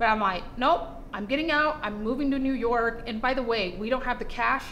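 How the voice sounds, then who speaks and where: Noticeable background noise and audible room echo surround a woman's high-pitched voice. She talks at a fairly quick pace with ordinary pitch variation. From Brazil, Rio de Janeiro; moved to Utah at 8. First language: Portuguese. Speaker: fashion entrepreneur. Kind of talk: podcast interview.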